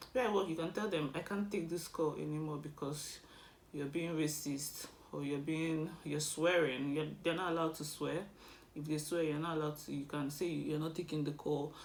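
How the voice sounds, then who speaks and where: A woman with a Nigerian accent talks at a moderate pace in a very deep, low pitch, her intonation fairly even and the room echo audible. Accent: non-British, Nigerian. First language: Igbo. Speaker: vlogger. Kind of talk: casual advice vlog.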